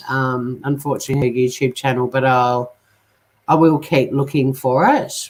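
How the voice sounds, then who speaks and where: With an Australian accent, a woman speaks in a very deep, low pitch. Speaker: true crime YouTuber. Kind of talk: casual live stream talk to viewers.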